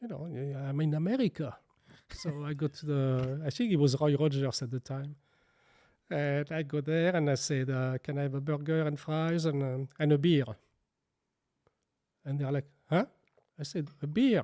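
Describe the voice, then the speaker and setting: A man with a French accent speaks at a moderate pace in a fairly high pitch and a dark, mellow tone. His intonation is fairly even, with long, frequent pauses, on a very clean recording with a silent background. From France. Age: 60s. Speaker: baker and bakery owner. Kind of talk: interview. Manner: halting.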